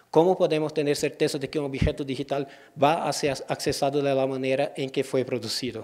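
A man with a Portuguese accent, fairly high in pitch, at a moderate pace with fairly even intonation, over a quiet background. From Brazil, Ceará. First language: Portuguese (speaking Spanish). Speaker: librarian and digital curator; guest lecturer. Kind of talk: lecture. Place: hall.

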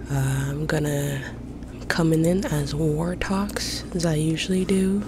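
A woman is whispering. Noticeable background noise can be heard. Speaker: ASMR gaming creator. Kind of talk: ASMR gaming commentary. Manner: whispered. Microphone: studio mic.

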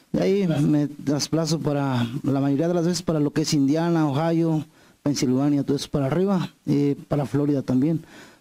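A man talks with fairly even intonation in a dark, mellow tone. The background is quiet. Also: moderate pace. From Mexico, Morelos. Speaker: singer-songwriter. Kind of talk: interview. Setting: TV studio set. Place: studio. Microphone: handheld.

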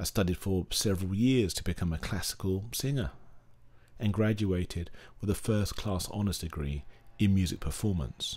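A man with a fairly low pitch and a somewhat breathy sound speaks at a moderate pace. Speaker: opera singer. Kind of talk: personal story narration.

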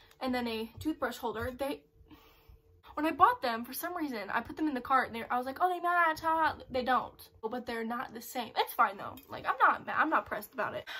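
A woman talks at a fairly quick pace in a raised, projected, high voice, with lively intonation and big swings in loudness. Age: young. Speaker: lifestyle vlogger. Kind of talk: casual haul video. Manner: fast; casual.

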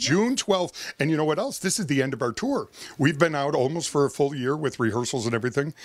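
A man talks at a very fast pace with a fairly high pitch and lively intonation. His tone is upbeat, and the sound is dry with no echo. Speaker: circus ringmaster. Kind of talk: interview answer. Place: office. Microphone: handheld.

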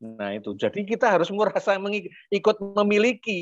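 Over light background noise, a man speaks at a fairly slow pace in a high pitch, the sound dry with no echo. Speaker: community organizer and presenter; guest. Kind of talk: opening and closing remarks in a webinar. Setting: video call. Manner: hesitant, many fillers. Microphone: video call.

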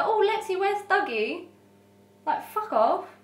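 A woman speaks at a moderate pace, and audible room echo can be heard. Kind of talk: scripted comedic talking-head monologue. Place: kitchen.

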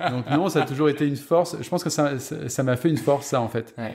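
With a dark, mellow tone and a somewhat breathy, fairly high pitch, a man talks at a fairly quick pace with ordinary pitch variation. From southwest France, Gironde near Bordeaux. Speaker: film set photographer. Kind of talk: interview conversation.

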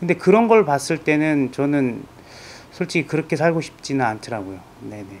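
This man has a fairly high pitch and lively intonation. He talks at a moderate pace. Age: 40s. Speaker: patient, small business owner. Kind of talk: interview testimony. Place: office. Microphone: lapel.

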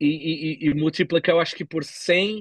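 At a moderate pace, a man talks over a quiet background, the sound dry with no echo. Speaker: bitcoin entrepreneur; podcast guest. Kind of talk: casual interview. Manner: halting, many fillers. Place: home room. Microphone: video call.

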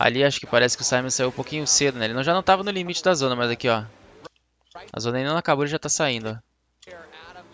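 A man with a Brazilian accent talks at a very fast pace, his pitch medium and its variation ordinary. His loudness swings widely, and the sound is dry with no echo over light background noise. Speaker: YouTuber and motorsport commentator; streamer reacting to drift races. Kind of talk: video commentary over race footage. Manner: animated. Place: home room.

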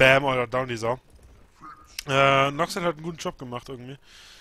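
Ordinary pitch variation in a man's fairly high-pitched voice at a very fast pace. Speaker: game commentator. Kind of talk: live game commentary.

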